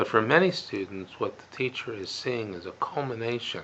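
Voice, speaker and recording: With a medium pitch and ordinary pitch variation, a man talks at a moderate pace while noticeable background noise carries on behind. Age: 60s. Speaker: psychologist and author. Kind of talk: educational commentary monologue. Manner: hesitant, many fillers.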